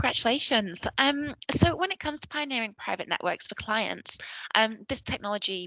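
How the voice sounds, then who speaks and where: A woman with a northern English accent, lively intonation and a fairly quick pace. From northern England. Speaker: podcast host. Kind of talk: scripted news roundup and interview.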